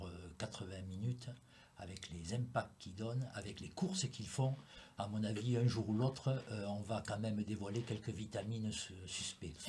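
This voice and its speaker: A man speaks at a fairly low pitch, somewhat breathy. His pitch variation is ordinary. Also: moderate pace. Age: 70s. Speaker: former rugby player, rugby pundit. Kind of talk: casual sports discussion panel. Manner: hesitant, many fillers.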